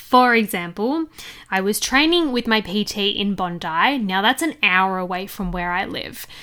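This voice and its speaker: In a bright, sharp tone, a woman talks with an Australian accent. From Australia, Sydney. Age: 20s. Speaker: podcast host. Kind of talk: casual monologue.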